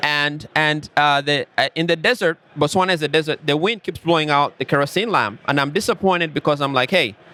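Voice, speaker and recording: This man, with an African accent, talks at a fairly quick pace and fairly high pitch with ordinary pitch variation, in a dry, close sound with no echo. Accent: African accent, self-described. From Rwanda. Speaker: tech company founder. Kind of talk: podcast interview.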